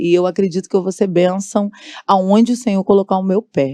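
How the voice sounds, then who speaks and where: A woman speaks with a dark, mellow tone in a dry, close sound with no echo. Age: 40s. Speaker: gospel singer and political candidate. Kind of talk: podcast interview.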